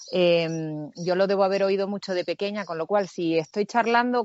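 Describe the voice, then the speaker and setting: At a fairly slow pace, a woman speaks with a medium pitch and ordinary pitch variation. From Canary Islands (Tenerife). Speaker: actress. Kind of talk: interview.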